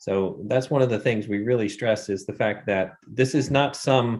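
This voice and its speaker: A man with an American accent has a plain, everyday voice at a medium pitch, with ordinary pitch variation. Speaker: filmmaker, runs faith-based film workshops. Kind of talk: interview answer.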